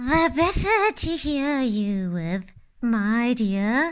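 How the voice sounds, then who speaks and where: Putting on a character voice, a woman speaks high-pitched at a very slow pace. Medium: read story. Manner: sly, put-on sweetness.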